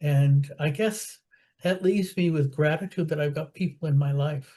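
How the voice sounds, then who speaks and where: A woman's very deep, low, somewhat breathy voice with a dark, mellow tone, ordinary pitch variation and a moderate pace. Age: 70s. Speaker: support group participant. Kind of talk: casual group chat. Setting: video call.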